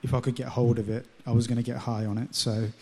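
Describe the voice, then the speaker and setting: Flat and monotone, a man with an English accent speaks at a medium pitch. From London, England. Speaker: churchgoer sharing faith story. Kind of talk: testimony. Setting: stage with audience.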